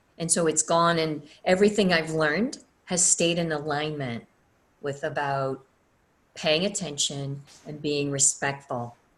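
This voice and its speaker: With an American accent, a woman speaks in a very deep, low pitch. She leaves long, frequent pauses. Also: ordinary pitch variation, fairly slow pace. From US South. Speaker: energy healer and teacher. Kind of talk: online class. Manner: casual.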